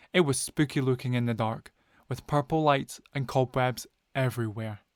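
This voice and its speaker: A man with a Scottish accent speaks in a calm tone at a medium pitch with fairly even intonation. The sound is dry and close with no echo. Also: very clean recording, silent background. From Scotland. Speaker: storyteller. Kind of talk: bedtime story narration. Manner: slow, clear.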